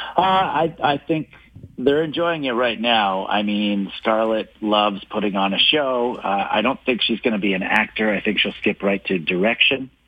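This man has a normal speaking voice with a Canadian accent and a medium pitch. His intonation is lively and his pace moderate. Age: 40s. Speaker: stand-up comedian and author. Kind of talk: radio interview. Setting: phone line.

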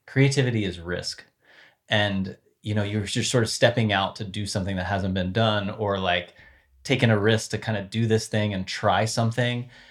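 Recorded very cleanly with a silent background, a man with an American accent uses a normal speaking voice at a fairly low pitch, keeping a moderate pace and fairly even intonation. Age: 40s. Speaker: former sports brand marketing executive. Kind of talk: interview conversation.

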